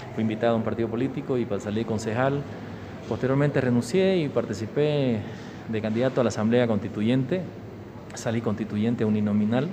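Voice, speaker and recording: Fairly quick speech from a man at medium pitch with ordinary pitch variation, amid audible room echo and noticeable background noise. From Bolivia, Santa Cruz (San Ignacio de Velasco). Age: 40s. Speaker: politician. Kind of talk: interview.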